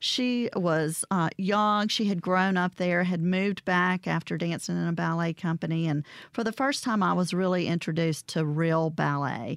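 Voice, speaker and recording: In a Southern US accent, a woman with a fairly low pitch speaks at a moderate pace with ordinary pitch variation, very even loudness and hardly any pauses, in a dry, close sound with no echo on a very clean recording with a silent background. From Mississippi (Vicksburg area). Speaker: arts organization director. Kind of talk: radio interview. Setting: studio.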